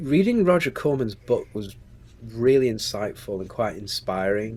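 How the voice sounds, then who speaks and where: The speaker has a Staffordshire accent and lively intonation. The pace is moderate. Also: man, medium pitch for a man. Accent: Stoke-on-Trent. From England, Stoke-on-Trent. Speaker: screenwriter and producer. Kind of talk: interview.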